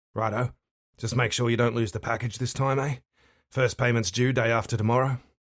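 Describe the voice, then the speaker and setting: Putting on a raspy character voice, a man talks at a fairly quick pace with a medium pitch. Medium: read story. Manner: cocky, casual.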